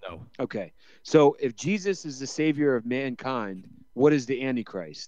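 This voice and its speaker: A man with a normal speaking voice at medium pitch, moderate pace, lively intonation and big swings in loudness, against a quiet background. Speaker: podcast co-host. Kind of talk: casual chat.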